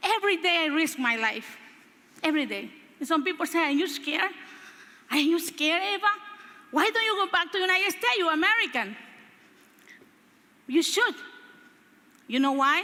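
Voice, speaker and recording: With a Spanish accent and an extremely high pitch, a woman speaks fairly quickly in a raised, projected voice, her tone animated and her intonation lively, broken by long, frequent pauses amid noticeable background noise. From Honduras. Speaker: motivational speaker and politician. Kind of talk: motivational speech. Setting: stage with audience.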